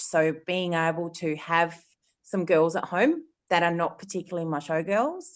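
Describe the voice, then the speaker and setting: With an Australian accent, a woman speaks at medium pitch and a moderate pace against a quiet background. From South Australia. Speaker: dog breeder. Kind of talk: panel discussion.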